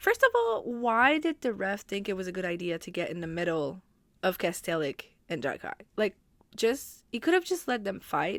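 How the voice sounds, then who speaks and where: A woman at a medium pitch makes very wide pitch swings in a very clean recording with a silent background and a dry, close sound with no echo. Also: moderate pace. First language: French. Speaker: hockey podcaster. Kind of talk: casual podcast talk.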